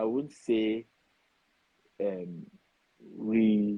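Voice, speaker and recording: With a Nigerian accent, a man speaks at a medium pitch in a dark, mellow tone, recorded with a dry, close sound with no echo. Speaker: foreign-trained dentist. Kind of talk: interview.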